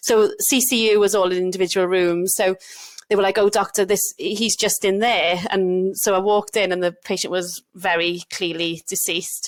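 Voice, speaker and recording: This woman has a medium pitch and a slight Welsh accent. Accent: Welsh, mild. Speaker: doctor, GP trainee. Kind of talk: casual chat. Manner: animated.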